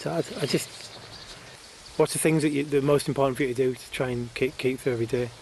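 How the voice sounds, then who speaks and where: A man speaks at a fairly quick pace with hardly any pauses, fairly even intonation and big swings in loudness, over noticeable background noise. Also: medium pitch for a man. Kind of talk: podcast conversation.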